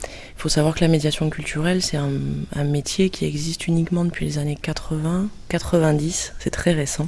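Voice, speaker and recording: A woman's fairly low, monotone, flat voice. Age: 30s. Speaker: cultural mediator. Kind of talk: interview monologue. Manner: hesitant.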